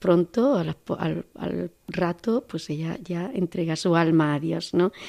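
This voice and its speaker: Recorded dry and close with no echo against a quiet background, a woman speaks with a fairly low pitch and ordinary pitch variation. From Andalusia, Córdoba. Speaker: nun. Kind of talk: testimony. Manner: halting.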